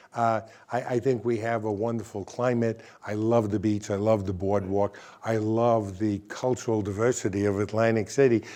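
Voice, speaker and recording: With a New Jersey accent, a man speaks in a dark, mellow tone, his fairly low voice held to a monotone, flat intonation. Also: moderate pace. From North Jersey, Bergen County. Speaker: state politician. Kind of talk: interview.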